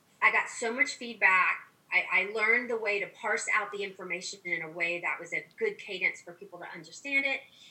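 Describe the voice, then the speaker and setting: Noticeable background noise sits behind a woman who talks at a fairly quick pace, her fairly high voice carrying lively intonation. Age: 50s. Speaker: physician. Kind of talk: interview.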